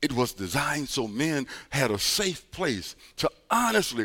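Fairly slowly and with an American accent, a man speaks in a medium pitch with a bright, sharp tone, vocal fry and very wide pitch swings. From US Midwest, East St. Louis, Illinois. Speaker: pastor. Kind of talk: sermon.

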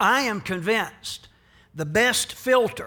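A man's high, bright and sharp voice, raised and projected, with lively intonation at a very slow pace, on a very clean recording with a silent background. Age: 60s. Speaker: pastor. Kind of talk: sermon.

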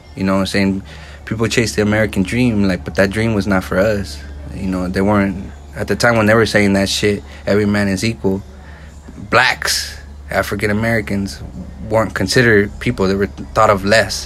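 Against noticeable background noise, a man talks at a fairly quick pace and fairly low pitch with ordinary pitch variation. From Santa Barbara, California (Mexican-American). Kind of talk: casual chat. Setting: at his home, outdoors on an overcast day.

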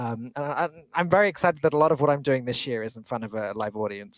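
A man talks at a very fast pace with very wide pitch swings. The sound is dry and close, with no echo. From England. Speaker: esports host. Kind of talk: casual chat, podcast interview.

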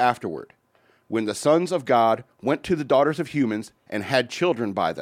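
A man speaks at medium pitch with lively intonation. The recording is very clean, with a silent background. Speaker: radio host. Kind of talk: casual banter on an irreverent radio show. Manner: fast talker.

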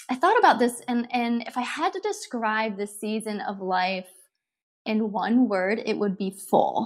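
With an American accent, a woman uses an unremarkable speaking voice, fairly high in pitch, at a fairly slow pace. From Ohio, US Midwest. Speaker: relationship psychologist. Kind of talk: interview.

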